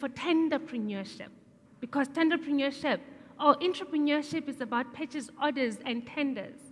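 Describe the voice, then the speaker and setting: Pitch shifts in a normal way while the delivery keeps a medium tempo. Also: woman, high pitch for a woman. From South Africa. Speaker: entrepreneur; speaker. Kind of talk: public talk. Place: stage. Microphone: headset.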